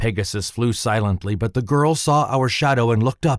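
A man talks at a moderate pace in an unremarkable speaking voice. The recording is very clean, with a silent background. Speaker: audiobook narrator and voice actor. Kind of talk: first-person mythological adventure narration.

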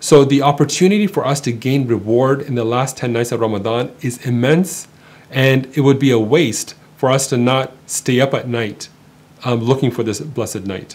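Pitch moves in an ordinary way. The pace stays moderate. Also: man. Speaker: speaker. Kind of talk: religious reminder talk. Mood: calm earnest encouragement. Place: studio.

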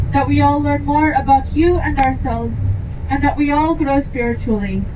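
Noticeable background noise runs beneath a woman's voice. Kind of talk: spoken prayer. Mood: calm, grateful. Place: bus. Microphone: pa.

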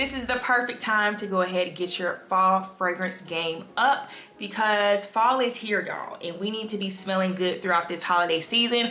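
A woman talks at a moderate pace. The room echo is audible, and there is light background noise. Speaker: fitness vlogger. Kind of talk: casual vlog chat. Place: home room.

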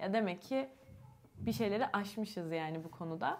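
Her voice holds a medium pitch, with the usual amount of variation. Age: 20s. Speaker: YouTuber with albinism. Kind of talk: casual chat. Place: home room. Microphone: lapel.

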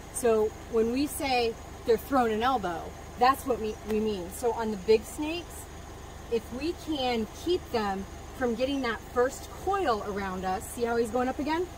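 Fairly slow speech from a woman, noticeable noise in the background. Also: dry sound with no echo. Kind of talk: demonstration explanation. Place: open country. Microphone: camera far.

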